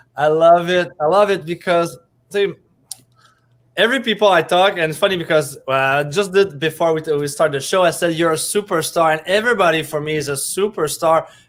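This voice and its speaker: A man speaks at a fairly quick pace with a French Canadian accent. His voice is high-pitched, with ordinary pitch variation. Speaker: show host, coach. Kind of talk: interview. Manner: animated.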